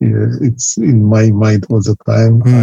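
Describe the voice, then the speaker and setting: Somewhat breathy and at a medium pitch, a man speaks at a fairly slow pace. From Syria. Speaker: refugee chemistry professor. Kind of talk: interview. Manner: halting.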